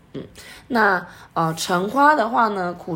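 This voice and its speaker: The woman talks at a moderate pace. Audible room echo surrounds her voice. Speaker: aromatherapy podcast co-host. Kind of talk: casual chat.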